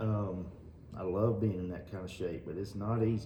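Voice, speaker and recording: A man's fairly low voice at a fairly quick pace, with noticeable background noise and audible room echo. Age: 40s. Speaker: gym owner and former bodybuilder. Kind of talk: casual chat.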